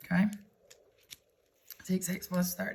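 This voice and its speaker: Fairly slow, somewhat breathy speech from a woman, her pitch in the middle of her range. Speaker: math teacher. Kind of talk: tutorial.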